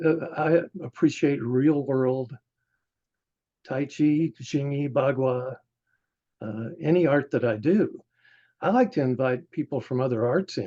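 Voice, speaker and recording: A man with a fairly high-pitched, dark and mellow voice at a fairly slow pace, with long, frequent pauses. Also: ordinary pitch variation. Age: 70s. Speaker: martial arts teacher. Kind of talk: casual interview.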